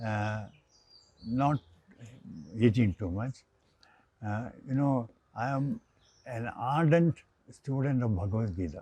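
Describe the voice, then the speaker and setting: With an Indian accent, a man speaks at medium pitch in a dark, mellow, somewhat breathy tone with ordinary pitch variation, the sound dry and close with no echo. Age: 80s+. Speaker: engineer. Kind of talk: interview answer.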